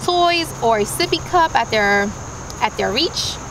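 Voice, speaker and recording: A woman is speaking. There is noticeable background noise, and the sound is dry with no echo. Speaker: parent reviewer. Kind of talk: product review tutorial. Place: open country.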